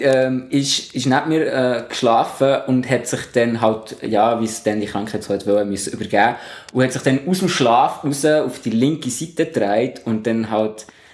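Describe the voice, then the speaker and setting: Noticeable background noise accompanies a man talking at a moderate pace. His medium-pitched voice shows ordinary pitch variation. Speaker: scout leader. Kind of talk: casual chat.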